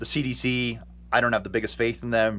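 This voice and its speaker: A man with an American accent and vocal fry, on a very clean recording against a silent background. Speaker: fitness vlogger. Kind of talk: casual vlog monologue. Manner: hesitant, filler-heavy.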